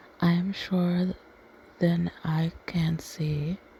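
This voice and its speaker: Soft-spoken delivery in a calm tone. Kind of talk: soft-spoken ASMR story reading. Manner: soft-spoken, calm.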